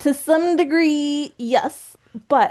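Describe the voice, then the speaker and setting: A woman speaks over a quiet background. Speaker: graduate admissions coach, business founder. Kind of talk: webinar presentation. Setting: online webinar. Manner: fast.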